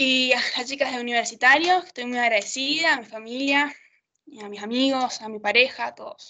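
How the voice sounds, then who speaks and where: At a fairly quick pace, the voice shows ordinary pitch variation and big swings in loudness against a quiet background. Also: woman, high pitch for a woman. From Argentina, Neuquén province. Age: 20s. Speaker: amateur rugby player and university student; interviewee. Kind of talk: interview. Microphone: video call.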